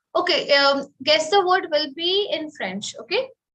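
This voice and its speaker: A woman with an Indian accent speaks at a moderate pace in a raised, projected voice, her high pitch, lively intonation and bright, sharp tone standing out. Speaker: French teacher. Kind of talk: online webinar instruction.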